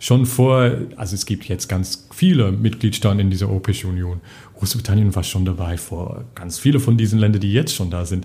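Somewhat breathy and dark, mellow in tone, a man speaks at a fairly low pitch and a fairly quick pace. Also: ordinary pitch variation. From England. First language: English (speaking German). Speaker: parliamentary group policy adviser. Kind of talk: casual interview. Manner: halting, many fillers.

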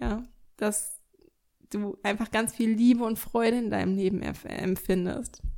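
In a dark, mellow tone, the voice moves at a fairly slow pace with fairly even intonation and long, frequent pauses. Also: woman, fairly high pitch for a woman. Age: 20s. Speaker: podcast host, dog coach. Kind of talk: solo monologue, reflective. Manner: casual, many filler sounds.

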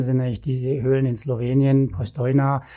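In a very clean recording with a silent background, a man speaks at a medium pitch with a dark, mellow tone, a somewhat breathy quality and fairly even intonation. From Swabia, Baden-Württemberg. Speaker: cave rescuer and geoscientist. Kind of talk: interview.

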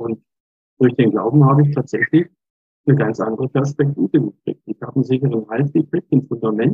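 A man in an ordinary speaking voice, medium pitch with ordinary variation, at a fairly quick pace. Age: 60s. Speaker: lay church minister. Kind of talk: interview.

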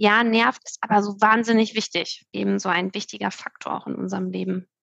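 A woman at a fairly quick pace, in a dry, close sound with no echo. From Hamburg, northern Germany. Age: 30s. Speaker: nonprofit founder in financial education. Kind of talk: podcast interview.

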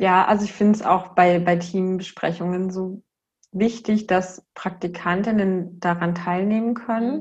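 Somewhat breathy, a woman speaks at a fairly slow pace in a flat monotone. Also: medium pitch for a woman. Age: 30s. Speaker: kindergarten director and systemic counselor. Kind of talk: interview conversation.

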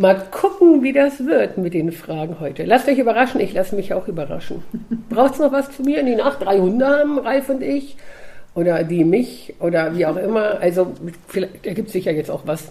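Noticeable background noise sits behind a woman's voice. She sounds animated, with very wide pitch swings. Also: medium pitch for a woman, moderate pace. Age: 50s. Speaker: dog trainer and coach. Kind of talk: casual chat.

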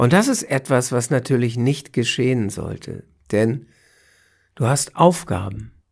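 Somewhat breathy, a man speaks at a fairly slow pace with long, frequent pauses, medium pitch and ordinary pitch variation, on a very clean recording with a silent background. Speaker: cancer coach and podcast host. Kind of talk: solo podcast monologue.

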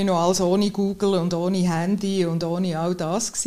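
A woman's voice over noticeable background noise. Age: 50s. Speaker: accident prevention sports specialist. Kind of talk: casual interview. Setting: outdoors at sunset.

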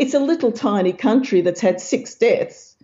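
A woman's voice, somewhat breathy. Her pitch swings very widely. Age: 60s. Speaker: author and memory researcher. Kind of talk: interview.

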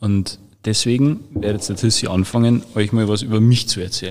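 At a moderate pace, a man with an unremarkable speaking voice talks in a fairly low pitch with fairly even intonation. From Bavaria, Freising. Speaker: social media manager. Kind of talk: casual chat; reading aloud.

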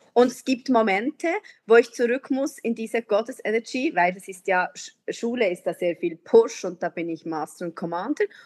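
At a moderate pace, an unremarkable speaking voice moves with lively intonation and big swings in loudness, recorded dry and close with no echo over a quiet background. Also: woman, fairly high pitch for a woman. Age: 40s. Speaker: teacher. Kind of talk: casual chat.

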